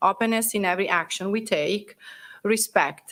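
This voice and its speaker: A woman with an Italian accent talks at a moderate pace and a medium pitch. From Italy. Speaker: Italian language teacher and cultural center president. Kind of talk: presentation. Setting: council chambers at a festival.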